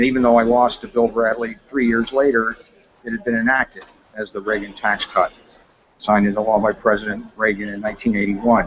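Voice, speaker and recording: Over noticeable background noise, the speaker goes at a fairly quick pace in a monotone, flat intonation. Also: man, medium pitch for a man. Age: 70s. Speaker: Senate candidate. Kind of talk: interview.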